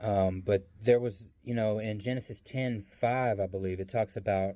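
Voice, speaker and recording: With a slight Southern US accent, a man speaks at a fairly slow pace in a fairly low pitch, his tone dark and mellow and his intonation fairly even. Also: very clean recording, silent background. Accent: slight Southern country. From US South. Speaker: bible teacher. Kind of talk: casual bible teaching monologue. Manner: hesitant, many fillers.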